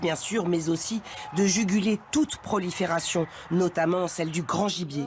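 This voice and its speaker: Moderate pace over noticeable background noise. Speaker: TV news reporter. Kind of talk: TV news report narration.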